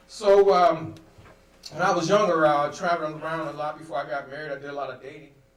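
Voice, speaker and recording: A man with an American accent at a fairly high pitch and fairly quick pace, with audible room echo and noticeable background noise. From Ohio, US Midwest (Akron). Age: 60s. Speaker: comedian. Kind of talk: stand-up. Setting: studio.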